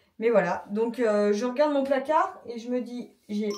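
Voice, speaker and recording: A fairly high-pitched woman's voice with a dark, mellow tone and ordinary pitch variation. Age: 30s. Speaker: vlogger. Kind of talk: casual vlog talk to camera.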